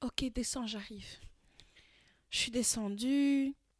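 Animated, fairly slow speech from a woman, with a dry, close sound and no echo. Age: 20s. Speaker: podcast co-host. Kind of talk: casual chat.

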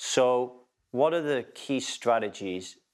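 With ordinary pitch variation, the speaker has a plain, everyday voice. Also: man. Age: 40s. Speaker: podcast host. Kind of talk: interview.

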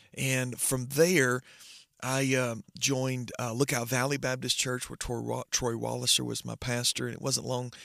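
A man with a Southern US accent speaks with medium pitch and monotone, flat intonation, the sound dry and close with no echo. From US South, northwest Georgia. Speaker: pastor. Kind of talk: testimony. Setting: remote recording.

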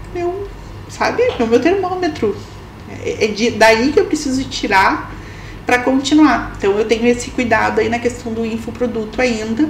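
A woman speaks at a high pitch. The recording carries noticeable background noise and audible room echo. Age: 40s. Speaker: personal branding consultant. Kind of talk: casual chat.

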